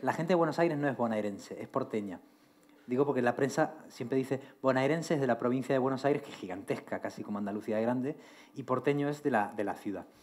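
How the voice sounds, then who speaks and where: With ordinary pitch variation, a man delivers his words at a very fast pace. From Argentina. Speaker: writer. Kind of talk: interview on stage, reading poems aloud. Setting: university hall with audience.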